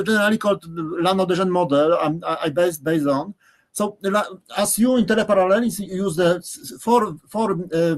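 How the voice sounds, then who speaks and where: Speaking at a moderate pace with a Polish accent, a man uses a high pitch and ordinary pitch variation. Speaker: professor. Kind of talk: lecture. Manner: halting, many repetitions.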